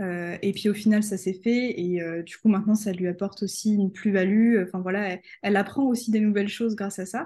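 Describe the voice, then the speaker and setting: Against a quiet background, a woman with a dark, mellow, somewhat breathy tone speaks at a fairly quick pace with fairly even intonation. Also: medium pitch for a woman. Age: 20s. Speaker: freelance photographer and customer care employee. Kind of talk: casual interview.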